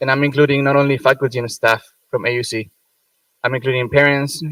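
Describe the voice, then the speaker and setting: A man with a Spanish accent speaks at a fairly quick pace and medium pitch in a monotone, flat intonation. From Venezuela, Margarita Island. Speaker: medical student, student government president. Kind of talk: ceremony speech. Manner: unscripted, some hesitations.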